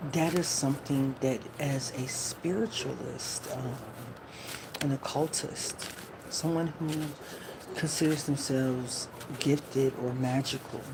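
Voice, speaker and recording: A woman talks at a fairly slow pace with a very deep, low pitch and fairly even intonation. Long, frequent pauses break up her speech over noticeable background noise. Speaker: spiritual tarot reader. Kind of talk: live stream talk. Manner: talking low.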